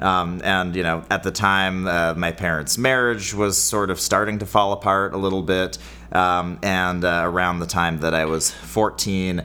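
A man in a Californian accent, very deep and low in pitch, with ordinary pitch variation and a moderate pace. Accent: general American (Californian). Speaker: podcast co-host. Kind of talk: casual comedic chat.

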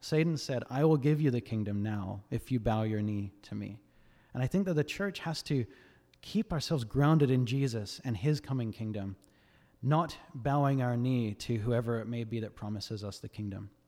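Captured in a very clean recording with a silent background, a man with an Australian accent and a dark, mellow tone speaks at medium pitch and a moderate pace with ordinary pitch variation.

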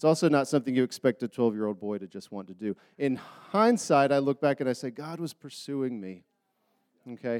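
A man with a normal speaking voice talks at a fairly quick pace with lively intonation and big swings in loudness, the sound dry and close with no echo. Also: medium pitch for a man. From US South, Charlotte, North Carolina. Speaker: lay preacher. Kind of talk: sermon. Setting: church.

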